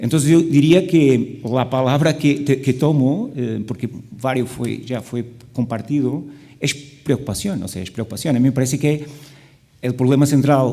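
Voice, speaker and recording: With a Portuguese accent, a man speaks in a dark, mellow tone at medium pitch with ordinary pitch variation. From Portugal. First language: Portuguese (speaking Spanish). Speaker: panelist at medical conference. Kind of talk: panel discussion.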